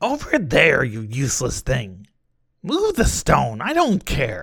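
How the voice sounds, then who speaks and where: A put-on character voice comes through at a fairly slow pace. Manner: intense, harsh, commanding.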